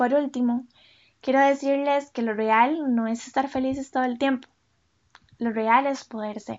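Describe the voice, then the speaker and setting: Speaking at a fairly slow pace with long, frequent pauses, a woman with a high pitch keeps a monotone, flat intonation. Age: 20s. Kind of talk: scripted reflective monologue.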